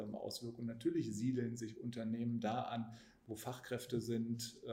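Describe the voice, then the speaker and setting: A man talks amid noticeable background noise, his voice carrying audible room echo. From Hanover, northern Germany. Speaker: politician. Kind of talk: casual interview.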